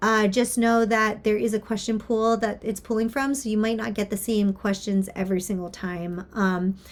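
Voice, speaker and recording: A woman with a normal speaking voice talks at a moderate pace with hardly any pauses. Her fairly high pitch follows a fairly even intonation. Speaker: university instructor. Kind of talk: course overview lecture. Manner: casual, with filler words.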